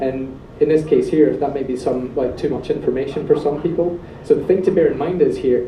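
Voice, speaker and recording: A man at a fairly high pitch and fairly quick pace, with ordinary pitch variation and audible room echo. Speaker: software developer, meetup speaker. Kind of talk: technical presentation with live demo. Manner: fast; animated.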